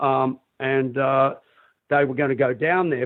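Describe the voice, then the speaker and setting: A medium-pitched man's voice with an Australian accent. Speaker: rock singer. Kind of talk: interview. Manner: halting, many fillers.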